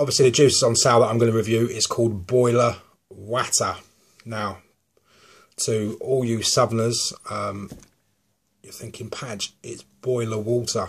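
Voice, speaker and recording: A man with a southern English accent, at a moderate pace, with long, frequent pauses. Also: big swings in loudness. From southern England. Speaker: vape juice reviewer. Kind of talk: product review. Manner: casual, hesitant with many ums.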